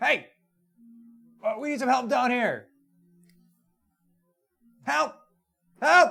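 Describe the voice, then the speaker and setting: A man's put-on character voice, extremely high-pitched, at a fairly slow pace with long, frequent pauses. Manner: shouting for help.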